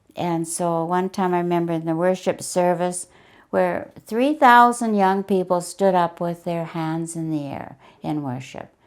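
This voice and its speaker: In a very clean recording with a silent background, a woman with a western Canadian accent speaks at a fairly low pitch and fairly slow pace, with ordinary pitch variation. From Canada, Alberta. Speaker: retiree sharing life story. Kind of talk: testimony. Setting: on-camera interview.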